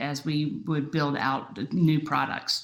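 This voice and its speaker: A woman speaks with a very deep, low pitch and a slight Southern US accent. Her intonation stays monotone and flat. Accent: slight Southern twang. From US South, Aiken, South Carolina. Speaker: entrepreneur, startup co-founder. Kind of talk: panel discussion.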